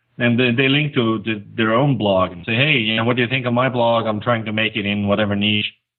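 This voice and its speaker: A man with a non-native accent, medium pitch and fairly even intonation, talking at a fairly quick pace with hardly any pauses. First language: not English. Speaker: conversion optimization expert, blogger. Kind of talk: podcast interview.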